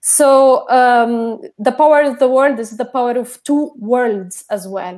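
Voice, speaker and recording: A very slow pace with hardly any pauses, a non-native accent and ordinary pitch variation, on a very clean recording with a silent background. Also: woman, high pitch for a woman. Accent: foreign accent in Portuguese. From Jordan. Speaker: researcher in feminist studies. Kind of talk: panel talk. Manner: halting.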